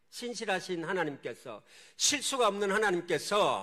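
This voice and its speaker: His tone is bright and sharp. The man uses a raised, projected voice. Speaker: missionary pastor. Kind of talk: sermon. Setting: church.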